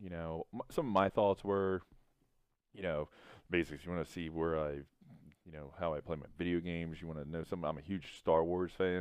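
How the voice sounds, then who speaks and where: With a slight Southern US accent, a man talks at a fairly quick pace in a very deep, low voice with fairly even intonation. His loudness swings widely, and he leaves long, frequent pauses. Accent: slight Southern twang. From US South. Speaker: gaming vlogger. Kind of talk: casual chat over gameplay.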